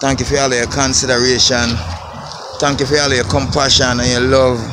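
A man with a Jamaican accent at medium pitch, fairly quick and fairly even in intonation, in a dry sound with no echo amid loud background noise. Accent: Jamaican patois. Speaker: construction worker vlogger. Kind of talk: casual vlog on building site. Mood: grateful, proud. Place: open country. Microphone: phone near.

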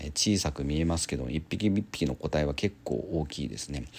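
This man speaks at a fairly quick pace in a very deep, low pitch. His voice carries vocal fry and ordinary pitch variation. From Japan, Kawasaki. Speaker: aquarium and pet YouTuber. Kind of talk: casual vlog narration.

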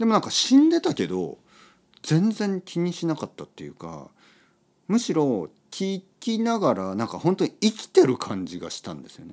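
In a very clean recording with a silent background, a man speaks at a moderate pace, his loudness rising and falling in big swings. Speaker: podcast host, Japanese teacher. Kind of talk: casual monologue for language learners.

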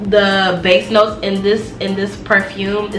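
Clear music in the background and audible room echo accompany a woman's voice. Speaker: beauty vlogger. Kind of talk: casual product review. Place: home room. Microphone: camera far.

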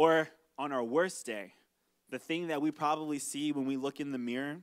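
Against a quiet background, this man keeps to a moderate pace as he talks. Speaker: pastor. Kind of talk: sermon. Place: stage. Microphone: handheld.

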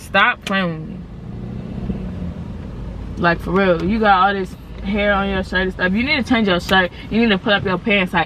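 At a moderate pace, a woman speaks with fairly even intonation and long, frequent pauses, with light background noise and a dry sound with no echo. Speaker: vlogger. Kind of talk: casual vlog chat. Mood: playful, joking. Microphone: phone near.

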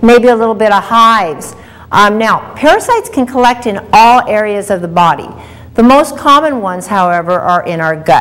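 A woman's lively intonation comes through at a moderate pace. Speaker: health show host. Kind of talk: lecture. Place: studio.

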